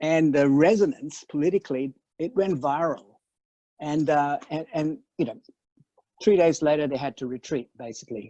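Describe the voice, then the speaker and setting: Long pauses come often in this speech, though its pace is moderate. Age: 60s. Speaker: panel speaker. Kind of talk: web talk panel. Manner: halting, many repeated words.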